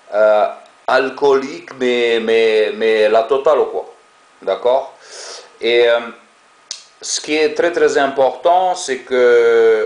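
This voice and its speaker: With a strong non-native accent, a man of medium pitch speaks at a very slow pace with long, frequent pauses and ordinary pitch variation over noticeable background noise. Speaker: ex-Jehovah's Witness video blogger. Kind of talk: monologue to camera. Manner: hesitant, many fillers and repetitions.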